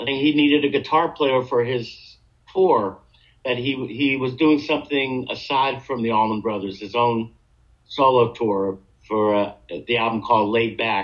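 A man with an American accent and medium pitch talks at a moderate pace in an ordinary speaking voice. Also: ordinary pitch variation. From Long Island, New York. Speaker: guitarist. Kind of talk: interview.

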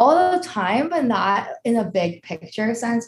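A somewhat breathy voice with a New York accent. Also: woman. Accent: American, New York. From New York, US. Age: 20s. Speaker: personal finance influencer. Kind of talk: casual interview.

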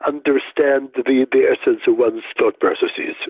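At a moderate pace, a man talks with a Russian accent. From Soviet Union, Riga and Moscow. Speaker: neuroscientist and clinician. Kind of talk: interview.

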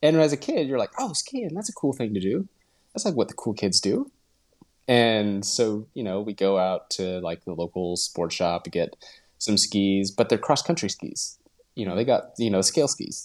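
A man with a western US accent talks at a moderate pace in a medium pitch, his intonation lively. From Utah. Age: 30s. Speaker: professional cyclist. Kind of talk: casual interview.

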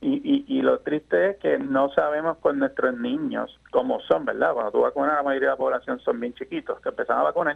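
A man is talking here. He keeps a moderate pace. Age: 40s. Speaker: lawyer. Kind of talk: radio interview. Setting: phone call.

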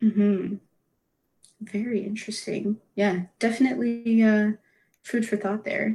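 Speaking at a fairly slow pace with long, frequent pauses, a woman with a Canadian accent has a fairly high pitch, a somewhat breathy, dark, mellow tone, and fairly even intonation. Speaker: student podcast host. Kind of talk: interview; scripted outro.

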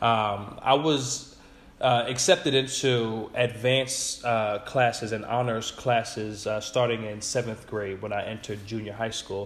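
A man's voice at medium pitch, an ordinary speaking voice, with fairly even intonation and a fairly slow pace. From New York area suburbs. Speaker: educator. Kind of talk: interview.

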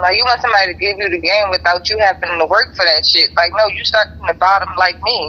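With vocal fry, a woman talks at a fairly quick pace. Her pitch is medium with ordinary variation. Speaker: podcast co-host. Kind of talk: casual chat. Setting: on a phone call from work.

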